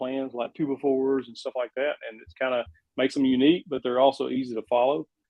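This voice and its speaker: Talking at a very fast pace, a man with a medium pitch speaks in a Southern US accent with monotone, flat intonation. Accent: Southern US country. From Arkansas. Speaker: woodworking YouTuber. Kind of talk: interview answer. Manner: casual.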